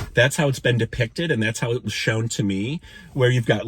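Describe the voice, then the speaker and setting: Somewhat breathy and animated, a man's medium-pitched voice carries the clip. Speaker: spiritual vlogger. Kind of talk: personal storytelling monologue. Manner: fast.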